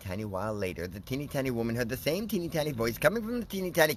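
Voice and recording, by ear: What we hear is reading aloud in a natural voice.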